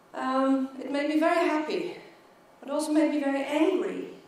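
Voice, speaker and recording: Through audible room echo and noticeable background noise, a woman speaks in a high pitch with fairly even intonation. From Netherlands. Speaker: keynote speaker. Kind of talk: keynote talk. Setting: stage with audience. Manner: repetitions and blocks.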